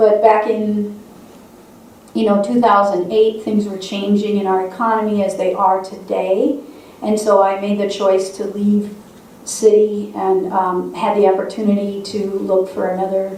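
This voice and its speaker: A woman with an Upper Midwest accent speaks at a medium pitch in a monotone, flat intonation. Noticeable background noise and audible room echo fill the recording. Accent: Upper Midwest American. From South Dakota, Sioux Falls. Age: 60s. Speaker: state legislator. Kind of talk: speech to a congregation.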